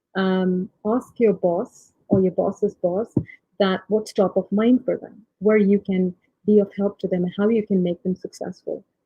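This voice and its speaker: Her voice is somewhat breathy as a woman speaks at a fairly slow pace. The intonation is monotone and flat. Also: medium pitch for a woman. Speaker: tech leader. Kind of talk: panel talk. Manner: hesitant, many fillers.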